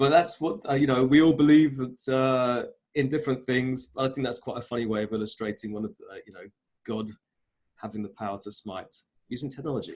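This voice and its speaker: Speaking at a fairly quick pace and medium pitch, a man shows ordinary pitch variation and big swings in loudness. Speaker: wellbeing coach. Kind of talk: online workshop presentation. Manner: fast.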